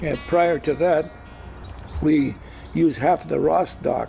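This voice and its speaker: A man with an American accent, music in the background. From Gig Harbor, Washington, US Pacific Northwest. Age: 90s. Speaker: retired commercial fisherman and former mayor. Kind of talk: oral history interview. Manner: halting, many fillers and repetitions.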